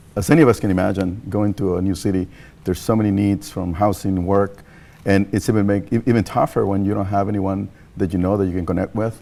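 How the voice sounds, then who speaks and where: Talking at a very fast pace with a Mexican accent, a man uses a dark, mellow tone, fairly low pitch and fairly even intonation. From Mexico. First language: Spanish. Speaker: nonprofit leader. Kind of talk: TV interview. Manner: halting, many fillers.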